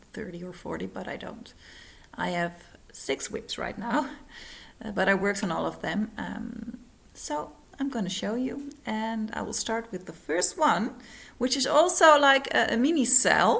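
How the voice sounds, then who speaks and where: A woman with a non-native accent speaks at a fairly slow pace in a fairly high voice with vocal fry, her loudness swinging a lot and her pitch swinging very widely. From Netherlands. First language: Dutch. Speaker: cross-stitch vlogger. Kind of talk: casual vlog. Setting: at home, living room. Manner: halting, many fillers. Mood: friendly, cheerful. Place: home room. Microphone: phone near.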